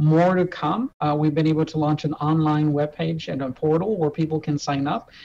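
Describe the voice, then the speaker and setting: A man talks in a normal speaking voice at a moderate pace and a fairly high pitch. Light background noise can be heard. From Texas. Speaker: hospital system executive. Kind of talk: interview. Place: office. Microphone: video call.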